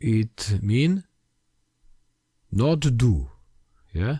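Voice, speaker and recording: A man's medium-pitched, somewhat breathy voice in a dry, close sound with no echo. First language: Polish. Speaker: language history video maker. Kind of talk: lecture. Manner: halting.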